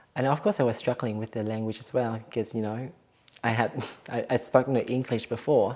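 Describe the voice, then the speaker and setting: A woman's very deep, low voice, dark and mellow in tone, with monotone, flat intonation. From Vietnam. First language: Vietnamese. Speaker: cooking show guest. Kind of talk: personal story interview. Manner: casual, hesitant with fillers.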